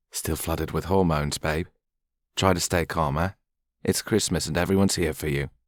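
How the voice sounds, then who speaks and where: Putting on a character voice, a man speaks fairly quickly in a very deep, low pitch, with fairly even intonation and long, frequent pauses. The recording is very clean and dry, close with no echo and a silent background. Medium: read story. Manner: clipped, commanding.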